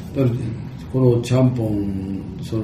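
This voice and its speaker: Through noticeable background noise and audible room echo, the intonation stays fairly even. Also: man. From Japan, Tottori. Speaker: company chairman. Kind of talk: interview. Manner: halting.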